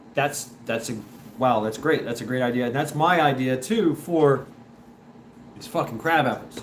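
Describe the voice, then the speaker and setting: A man's animated voice at medium pitch, with ordinary pitch variation and audible room echo. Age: 40s. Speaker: livestream host. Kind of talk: casual chat. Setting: live stream.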